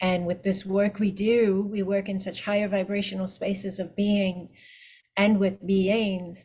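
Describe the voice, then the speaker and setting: Somewhat breathy and medium in pitch, the woman's voice moves at a fairly slow pace with monotone, flat intonation. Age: 50s. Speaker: spiritual teacher and energy healer. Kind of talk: casual chat.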